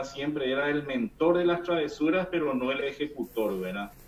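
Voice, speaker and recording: A man with a Paraguayan accent, fairly high pitch and ordinary pitch variation, against noticeable background noise. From Paraguay, interior. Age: 40s. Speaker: engineer giving testimony. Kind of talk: testimony. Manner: halting.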